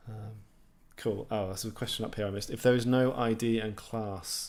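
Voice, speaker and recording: A man speaks in a southeast English accent. His intonation is monotone and flat. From southeast England, near London. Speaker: programming YouTuber. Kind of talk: live stream Q&A. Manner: casual, many fillers and restarts.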